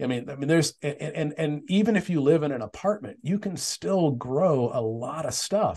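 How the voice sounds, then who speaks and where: A man with an American accent speaks at a moderate pace with hardly any pauses, his pitch fairly high and his intonation lively. His tone is dark and mellow and somewhat breathy. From Arizona (Tempe). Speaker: author. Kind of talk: casual interview. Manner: halting, many repeated words.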